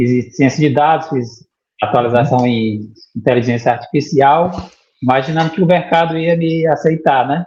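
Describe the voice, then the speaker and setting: A man speaks in a somewhat breathy voice. His pitch is fairly high, with ordinary variation. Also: moderate pace. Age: 50s. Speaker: 3D printing student, former bank IT worker. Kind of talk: interview. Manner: halting, with repetitions.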